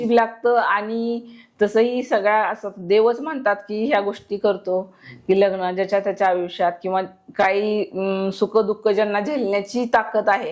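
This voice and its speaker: A woman has an ordinary speaking voice. Her intonation is fairly even. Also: medium pitch for a woman. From Maharashtra, Satara district. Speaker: war widow. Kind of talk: testimony.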